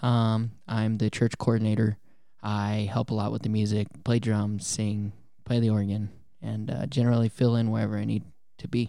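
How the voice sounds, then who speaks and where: A man with an American accent, fairly low in pitch, dark and mellow in tone, monotone and flat at a moderate pace, in a very clean recording with a silent background. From Colorado. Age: 20s. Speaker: church coordinator and musician. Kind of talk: testimony.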